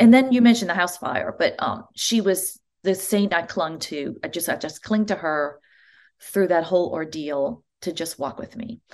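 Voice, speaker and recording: A woman with an American accent has an unremarkable speaking voice, medium in pitch with ordinary variation and big swings in loudness. She keeps a moderate pace against a quiet background. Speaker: church music director. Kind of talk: interview.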